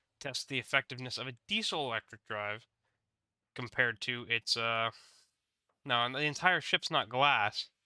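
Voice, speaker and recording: Bright, sharp tone at a moderate pace, ordinary pitch variation, a dry, close sound with no echo, and a very clean recording over a silent background. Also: man. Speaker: gaming streamer. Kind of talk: casual live stream commentary. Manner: halting, with restarts.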